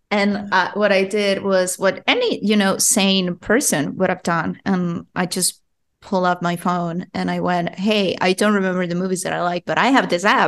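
Speaking with a Spanish accent, a woman uses a medium pitch and fairly even intonation at a moderate pace. She barely pauses, and the background is quiet. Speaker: podcast host. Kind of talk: casual chat.

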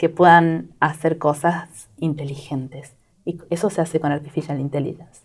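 A woman is speaking. Her voice is very deep and low in pitch. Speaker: product manager. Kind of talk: interview.

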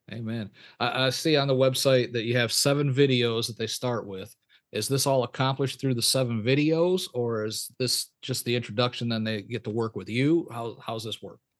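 A man speaks at a medium pitch with fairly even intonation, a normal speaking voice. The background is quiet. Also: moderate pace. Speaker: pastor and podcast host. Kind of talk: interview.

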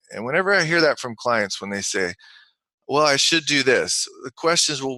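This man's tone is bright and sharp. He talks at a moderate pace. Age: 40s. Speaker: high-performance coach and author. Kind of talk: interview.

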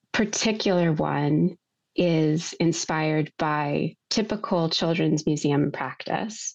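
A woman with an American accent speaks with a very deep, low pitch and ordinary pitch variation. Her pace is very slow, over a quiet background. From United States. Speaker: museum exhibit designer. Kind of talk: interview. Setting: studio.

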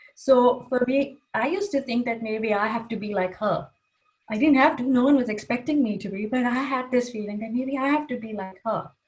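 A woman with a high-pitched voice talks fairly quickly, her pitch varying in an ordinary way. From Kuwait. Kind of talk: casual interview.

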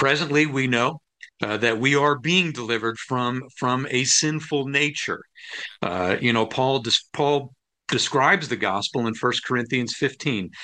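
A man speaks at a moderate pace and medium pitch, with ordinary pitch variation. His tone is bright and sharp against a quiet background. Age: 50s. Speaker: pastor and former air force pilot. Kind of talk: interview. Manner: halting.

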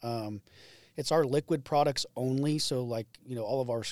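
A man with a normal speaking voice and an American accent talks at a moderate pace, with a medium pitch and fairly even intonation. The recording is very clean, with a silent background and a dry, close sound with no echo. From Indiana. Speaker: agronomy product specialist. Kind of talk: casual interview. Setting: studio.

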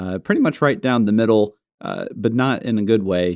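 In a very clean recording with a silent background and a dry, close sound with no echo, a man with an unremarkable speaking voice talks at a moderate pace with fairly low pitch and lively intonation. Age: 30s. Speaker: podcast co-host. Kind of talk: casual chat. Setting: studio.

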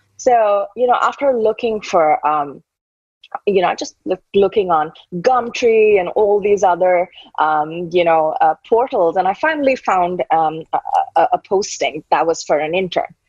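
A woman in an Indian accent, medium in pitch, fairly slow, with lively intonation. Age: 30s. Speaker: tech startup founder. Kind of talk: interview.

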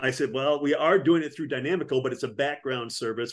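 Speaking with an American accent, a man has an unremarkable speaking voice, fairly high pitch, and ordinary pitch variation. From Wisconsin. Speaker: army veteran and business consultant. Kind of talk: interview.

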